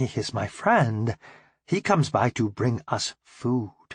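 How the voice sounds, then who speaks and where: Fairly slow, medium-pitched put-on character voice from a man, quiet background behind him. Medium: read story. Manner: simple broken English.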